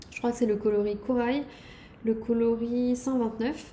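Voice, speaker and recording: A woman speaks at a fairly high pitch. The room echo is audible. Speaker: knitting podcaster. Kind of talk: casual show-and-tell video podcast. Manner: hesitant, many fillers.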